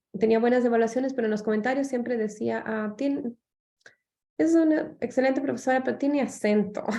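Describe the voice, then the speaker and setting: There's a dark, mellow tone to this woman's high-pitched voice. She talks fairly quickly. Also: ordinary pitch variation. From Latin America. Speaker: anthropologist and professor. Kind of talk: radio interview.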